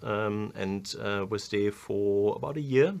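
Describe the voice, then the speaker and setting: A man with a German accent talks at a fairly low pitch. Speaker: business strategy consultant. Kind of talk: interview. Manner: hesitant, many fillers.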